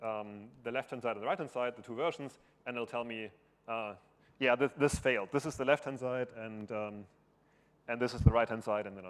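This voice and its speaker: At a fairly quick pace, a man speaks with a medium pitch and fairly even intonation. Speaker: conference speaker. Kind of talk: technical conference talk. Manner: halting, many fillers. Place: hall.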